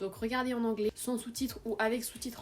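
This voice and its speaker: A woman talking at a very fast pace. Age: 20s. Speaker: vlogger, exchange student. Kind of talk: casual vlog Q&A. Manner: animated.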